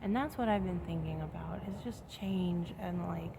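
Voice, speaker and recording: A woman speaks softly. Audible room echo surrounds her voice. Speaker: vlogger. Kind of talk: casual vlog monologue. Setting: outdoors in a chair near home. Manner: soft-spoken, speaking quietly.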